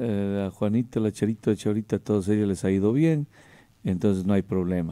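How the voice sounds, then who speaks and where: Against a quiet background, a man speaks at a fairly low pitch with a dark, mellow tone. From Ecuador. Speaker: radio host. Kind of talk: radio interview. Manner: animated. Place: studio. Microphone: studio mic.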